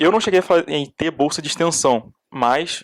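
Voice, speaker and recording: An ordinary speaking voice, its pitch varying in an ordinary way. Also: man. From Brazil, Duque de Caxias (Rio de Janeiro state). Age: 20s. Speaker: petroleum engineering student. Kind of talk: podcast interview.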